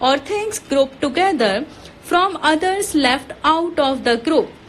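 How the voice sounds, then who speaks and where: A woman speaks in a high voice with very wide swings in pitch. Noticeable background noise sits behind her. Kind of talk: shorthand dictation read. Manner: steady, measured pace.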